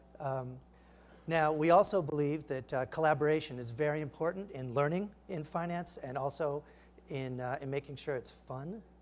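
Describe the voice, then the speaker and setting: At a moderate pace, a man talks at a fairly high pitch with ordinary pitch variation. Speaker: startup founder giving a product demo; presenter. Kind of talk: live product demo. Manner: halting, many fillers. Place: stage.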